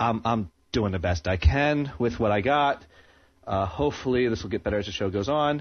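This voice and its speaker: An ordinary speaking voice with an American accent. The intonation is lively and the pace moderate. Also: man, medium pitch for a man. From New Jersey. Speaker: amateur internet radio host. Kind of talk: casual chat. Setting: home studio, live internet radio.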